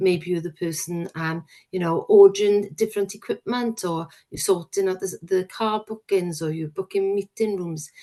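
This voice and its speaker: In a Welsh accent, a woman speaks with a dark, mellow tone at medium pitch. Her pace is moderate and her intonation fairly even. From Wales. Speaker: probation service manager. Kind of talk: recruitment presentation. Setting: working from home. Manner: hesitant, with frequent fillers.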